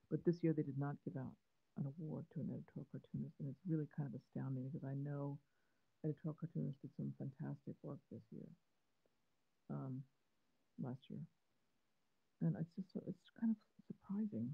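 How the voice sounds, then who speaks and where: Vocal fry at a fairly quick pace, long and frequent pauses, quiet background. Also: woman, very deep, low pitch for a woman, lively intonation. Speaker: cartoonist. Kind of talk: live-stream drawing chat. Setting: live stream from phone. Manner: halting, many fillers. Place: home room. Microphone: phone near.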